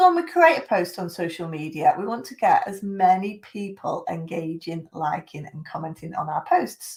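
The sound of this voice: A woman with a slightly mellow tone and big pitch swings.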